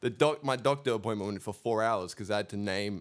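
A man speaks in a fairly low pitch on a very clean recording with a silent background. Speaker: podcast co-host. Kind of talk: casual banter podcast chat. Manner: animated, joking.

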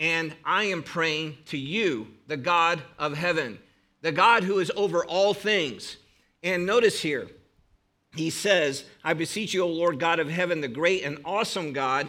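A man with a Northern Ohio accent speaks fairly slowly in a high pitch, his tone bright and sharp. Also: ordinary pitch variation. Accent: Northern Ohio American. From northern Ohio, US. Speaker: preacher and seminary professor. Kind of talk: sermon. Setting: church with congregation. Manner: informal, humorous, conversational.

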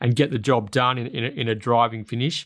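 Against a quiet background, the speaker uses a fairly even intonation in an Australian accent. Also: man. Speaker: racing podcast host. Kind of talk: casual racing preview chat.

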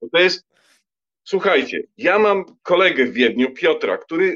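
A man speaks here with a high pitch. His delivery holds a moderate pace. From Poland, Lower Silesia. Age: 50s. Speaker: writer. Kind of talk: casual chat.

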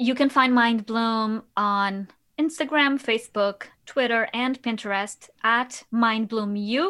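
Very slowly, a woman with a Portuguese accent speaks in a fairly high voice with ordinary pitch variation, in a very clean recording with a silent background. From Portugal, Lisbon. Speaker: podcast host and patient. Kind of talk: interview.

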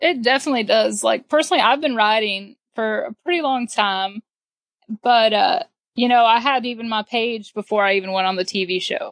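A woman with an ordinary speaking voice talks at a moderate pace, her fairly high pitch carried by lively intonation. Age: 20s. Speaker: teacher and rancher. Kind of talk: casual interview.

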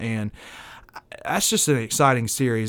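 Medium pitch, ordinary pitch variation and a moderate pace from a man with an unremarkable speaking voice. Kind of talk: casual radio sports talk. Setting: radio studio.

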